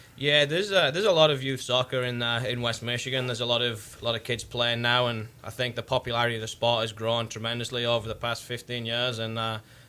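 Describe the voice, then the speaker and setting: Over noticeable background noise, a man speaks very fast in a medium pitch. He leaves hardly any pauses. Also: fairly even intonation. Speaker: soccer coach. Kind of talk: interview. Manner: hesitant, many fillers.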